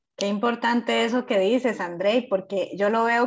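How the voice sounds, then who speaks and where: Speaking in a Costa Rican accent, a woman holds a fairly slow pace. Her intonation stays fairly even. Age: 30s. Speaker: podcast host. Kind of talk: casual chat.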